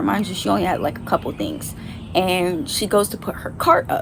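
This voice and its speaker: At a fairly quick pace, a woman speaks over noticeable background noise. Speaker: vlogger. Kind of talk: storytime. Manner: animated.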